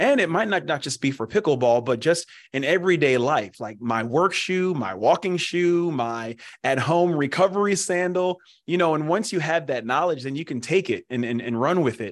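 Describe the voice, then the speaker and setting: An American man with an unremarkable speaking voice talks at a moderate pace in a fairly high pitch, his intonation lively against a quiet background. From Pennsylvania. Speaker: former pro football player, foot care business representative. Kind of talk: interview.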